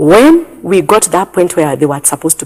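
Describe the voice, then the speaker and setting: A woman with a Kenyan accent at a moderate pace, music in the background. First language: Kikuyu. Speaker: pastor. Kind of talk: testimony. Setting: studio.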